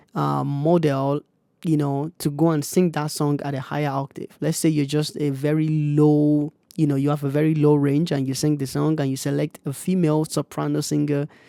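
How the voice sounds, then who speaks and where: Recorded very cleanly against a silent background, with a dry, close sound and no echo, a man with an African accent speaks at a fairly high pitch and a fairly quick pace, his tone dark and mellow and his intonation monotone and flat. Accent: African accent in speech. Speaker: music producer YouTuber. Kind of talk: tutorial. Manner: casual, hesitant with fillers.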